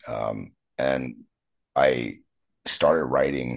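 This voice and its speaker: A man speaks with a Pacific Northwest accent. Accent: American (Pacific Northwest). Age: 40s. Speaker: punk musician. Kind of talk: casual interview.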